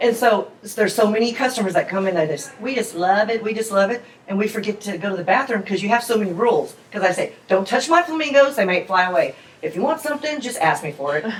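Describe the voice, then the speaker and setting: Over noticeable background noise, a woman speaks at a very fast pace. Her fairly high pitch moves with lively intonation. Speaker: restaurant owner. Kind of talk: interview. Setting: in her restaurant. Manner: loud; casual, chatty.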